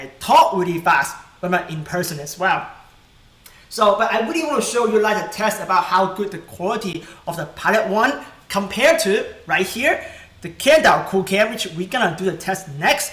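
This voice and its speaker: There is noticeable background noise and audible room echo as a high-pitched man speaks with big swings in loudness. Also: lively intonation. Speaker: tech youtuber. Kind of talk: live stream tutorial. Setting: live stream at home. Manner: fast.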